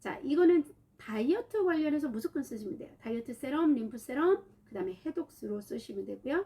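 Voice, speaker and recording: Her voice high yet dark and mellow in tone, a woman moves at a moderate pace with very wide pitch swings. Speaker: aromatherapy oil instructor. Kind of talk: online class livestream. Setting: livestream.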